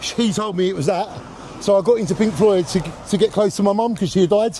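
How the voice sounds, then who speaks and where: Over noticeable background noise, a man speaks very fast at a high pitch, with ordinary pitch variation. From Jaywick, Essex, from London family. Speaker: local resident. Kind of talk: street interview. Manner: passionate.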